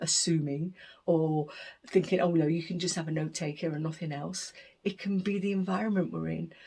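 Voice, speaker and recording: She speaks at a moderate pace in a fairly low, somewhat breathy voice with a dark, mellow tone. Her intonation stays fairly even. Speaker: deaf arts leader and performer. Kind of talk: recorded interview monologue. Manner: hesitant, with self-corrections.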